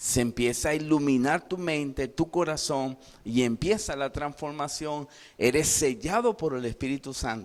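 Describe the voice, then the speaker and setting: The speaker is a man with a fairly high voice. His delivery is fairly slow. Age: 60s. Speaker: pastor. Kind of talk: sermon. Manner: animated.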